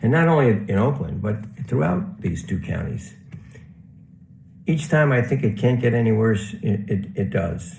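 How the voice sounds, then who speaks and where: With audible room echo, a man of medium pitch speaks at a moderate pace with very wide pitch swings and long, frequent pauses. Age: 70s. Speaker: award honoree, housing professional. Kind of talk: acceptance speech.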